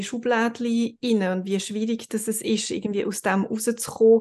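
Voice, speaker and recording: A woman's fairly high-pitched voice in monotone, flat intonation over a quiet background. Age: 40s. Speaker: podcast host. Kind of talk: casual interview.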